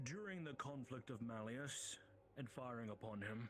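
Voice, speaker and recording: Over clear background noise, a man does a put-on character voice at medium pitch and a moderate pace. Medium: game stream. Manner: formal, measured.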